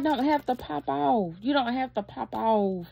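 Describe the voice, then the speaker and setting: Against a quiet background, a woman with a fairly high pitch speaks at a moderate pace. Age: 30s. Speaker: YouTuber. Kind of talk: casual vlog monologue. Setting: at her dad's house. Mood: earnest, reflective. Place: home room. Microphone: phone near.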